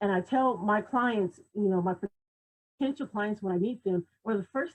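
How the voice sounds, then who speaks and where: Speaking at a moderate pace, a woman with a medium-pitched, somewhat breathy voice uses lively intonation. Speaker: image consultant and personal stylist. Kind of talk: talk on a livestream. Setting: video call. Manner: animated.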